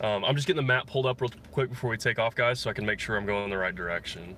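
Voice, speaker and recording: A man speaks at a medium pitch with ordinary pitch variation and a slight Texas accent. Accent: slight Texas drawl. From Texas, Dallas area. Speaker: musician vlogger. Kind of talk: casual chat on livestream. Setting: in a car.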